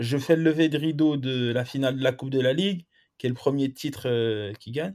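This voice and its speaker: At a moderate pace, a man talks at medium pitch. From Lyon, France. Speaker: football coach, former pro player. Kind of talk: podcast interview. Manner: halting.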